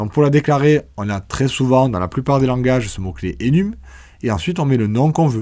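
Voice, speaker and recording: On a very clean recording with a silent background, a man with a southern French accent talks at a fairly quick pace, his pitch swinging very widely. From southern France. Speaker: programming teacher. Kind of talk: tutorial. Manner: casual, conversational.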